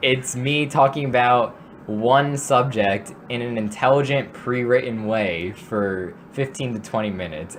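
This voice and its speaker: A man's medium-pitched voice, fairly slow, with ordinary pitch variation and noticeable background noise. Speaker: podcast host. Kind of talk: casual chat. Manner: halting.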